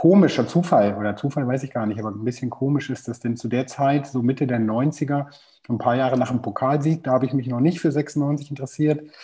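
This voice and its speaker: Dark and mellow in tone, a somewhat breathy man at medium pitch talks at a fairly quick pace with ordinary pitch variation. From Germany, Hannover. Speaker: football casual culture expert. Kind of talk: casual chat. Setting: remote call.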